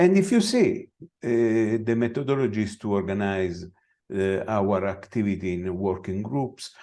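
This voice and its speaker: A man speaks at a fairly slow pace with an Italian accent, his fairly low voice dark and mellow in tone with ordinary pitch variation. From Italy. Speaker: veterinary scientist. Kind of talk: conference presentation. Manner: halting.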